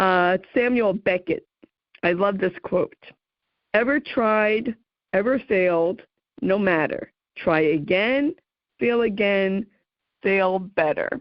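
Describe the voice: Speaking slowly with a New Jersey accent, a woman uses a medium pitch and leaves long, frequent pauses. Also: ordinary pitch variation, dry, close sound with no echo.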